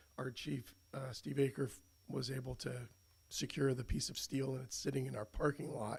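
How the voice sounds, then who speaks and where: At a moderate pace, a man speaks at a medium pitch with vocal fry. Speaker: firefighter. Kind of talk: presentation at public meeting. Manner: halting, many fillers.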